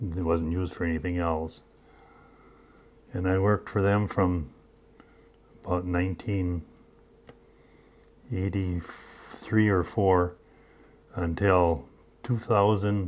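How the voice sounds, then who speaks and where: Long, frequent pauses break up this man's very slow speech in a Minnesota accent. His pitch is very deep and low, his intonation fairly even. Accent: Upper Midwest Minnesota. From northern Minnesota, Iron Range. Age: 80s+. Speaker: retired mine machinist. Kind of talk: oral history interview. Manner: halting.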